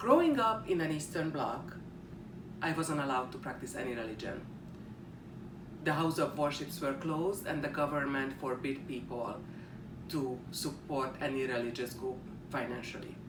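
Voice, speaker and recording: A Hungarian accent at a moderate pace, with long, frequent pauses and noticeable background noise. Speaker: student. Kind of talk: class speech presentation.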